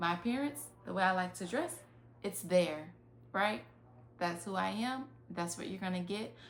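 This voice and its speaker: A woman in a Southern US accent speaks at a moderate pace and medium pitch with lively intonation. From US South, rural. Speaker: life coach. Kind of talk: online master class. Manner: casual, conversational.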